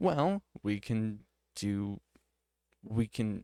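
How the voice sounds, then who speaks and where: A quiet man speaks with a fairly low pitch. The sound is dry and close with no echo, on a very clean recording with a silent background. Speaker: streamer. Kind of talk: casual commentary while reading a screen. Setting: at home with others in the house. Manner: quiet, keeping voice down; hesitant, many fillers.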